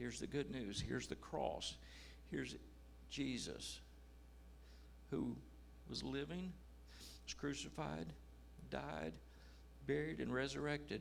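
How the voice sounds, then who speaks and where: A man speaks at a fairly slow pace in a very deep, low voice, with very wide pitch swings, vocal fry and audible room echo. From United States. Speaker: missionary. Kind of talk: testimony.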